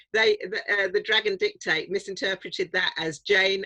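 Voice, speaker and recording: A woman with a southern English accent speaks at a fairly slow pace, the sound dry and close with no echo. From South London and Norfolk, England. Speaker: author. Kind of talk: interview. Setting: writing shed.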